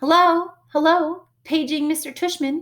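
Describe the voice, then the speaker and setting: In a put-on character voice, a woman speaks at an extremely high pitch and a fairly slow pace with flat, monotone intonation. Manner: mocking, playful.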